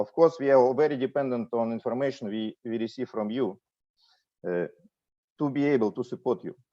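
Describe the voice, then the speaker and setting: Against a quiet background with a dry, close sound and no echo, a man with a Russian accent and a dark, mellow tone speaks at a medium pitch and a fairly quick pace, with ordinary pitch variation and long, frequent pauses. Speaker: ship fleet manager. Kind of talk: corporate presentation. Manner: hesitant, many fillers.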